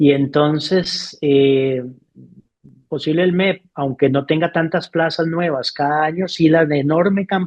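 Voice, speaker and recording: A plain, everyday voice at a fairly slow pace, with fairly even intonation. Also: man, fairly high pitch for a man. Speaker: educator. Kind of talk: interview.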